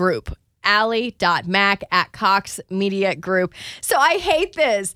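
This woman has an animated tone, lively intonation and a bright, sharp tone. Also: very clean recording, silent background. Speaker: wellness podcast host. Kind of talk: casual solo podcast monologue. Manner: chatty, animated.

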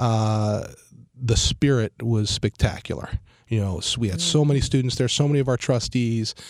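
It is a plain, everyday voice with ordinary pitch variation. The pace is moderate. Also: man, medium pitch for a man. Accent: American. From Cleveland, Ohio. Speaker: university president. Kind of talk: radio interview. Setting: radio studio.

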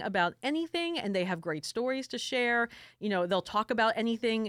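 Talking at a very fast pace, a woman uses a fairly high pitch. She has a slight New York accent. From South Florida, New York family. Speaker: music journalist and podcast co-host. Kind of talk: casual chat.

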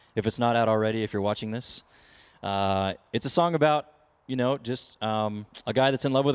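A man talks at a fairly quick pace in a Texan accent, his pitch medium with ordinary variation. The recording is very clean, with a silent background. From Texas, Weatherford area. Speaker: country singer. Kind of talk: casual interview chat. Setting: at the venue before his show.

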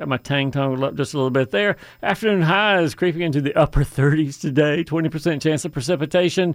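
Barely pausing, a man speaks in an ordinary speaking voice, fairly high in pitch with ordinary pitch variation. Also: fairly quick pace. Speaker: radio host.

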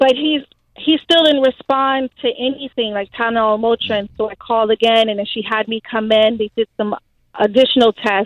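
Fairly high in pitch, this woman has an ordinary speaking voice. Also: moderate pace. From Haitian American. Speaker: mother of a child with leukemia. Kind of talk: phone interview. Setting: phone call.

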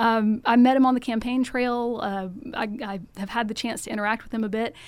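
A woman with an American accent speaks in a normal speaking voice at a fairly high pitch, with fairly even intonation and a moderate pace. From US South (Georgia, Macon). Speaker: political candidate. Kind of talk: interview. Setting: studio.

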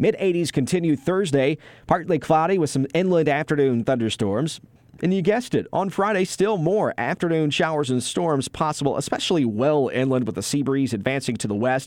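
A man's ordinary speaking voice, fairly high in pitch, with lively intonation at a fairly quick pace against a quiet background. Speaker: TV meteorologist. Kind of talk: scripted weather report. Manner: brisk, even, formal broadcast delivery; reads forecast as a steady run of day-by-day lines.

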